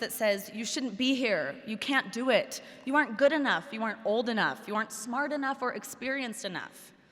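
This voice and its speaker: Raising and projecting her voice, a woman with an American accent talks at a high pitch and a moderate pace, with ordinary pitch variation. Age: 20s. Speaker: television news correspondent and commencement speaker. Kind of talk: commencement speech.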